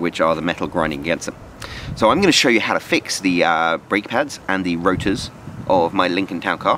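A man with a very deep, low pitch is recorded in a dry sound with no echo, with light background noise. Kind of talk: tutorial. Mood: wry, humorous. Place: street. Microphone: phone near.

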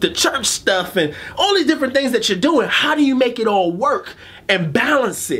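The voice belongs to a man. He lets his pitch swing very widely. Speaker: motivational coach, show host. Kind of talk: motivational monologue to camera. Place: studio.

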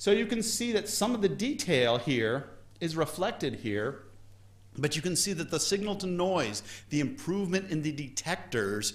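Speaking at a moderate pace, a man with a high pitch makes very wide pitch swings. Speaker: astronomy lecturer. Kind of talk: lecture. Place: hall.

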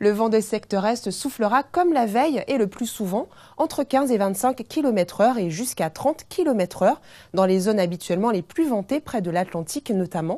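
Over a quiet background, a woman with a fairly high pitch and a dark, mellow tone talks at a moderate pace with lively intonation. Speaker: TV weather presenter. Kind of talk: scripted television weather bulletin, read to camera. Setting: TV studio. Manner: smooth, even-paced and formal; warm, welcoming sign-on and sign-off. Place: studio.

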